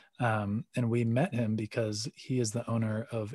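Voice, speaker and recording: Recorded dry and close with no echo against a quiet background, a man speaks in a somewhat breathy, medium-pitched voice with fairly even intonation. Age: 30s. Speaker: coffee company CEO and pro snowboarder. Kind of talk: interview. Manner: hesitant, many fillers.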